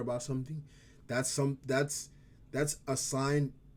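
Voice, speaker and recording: A man's fairly slow speech with an African accent, medium pitch and a dark, mellow tone. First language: African language. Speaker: vlogger. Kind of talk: casual vlog talk. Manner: halting, stumbles over words.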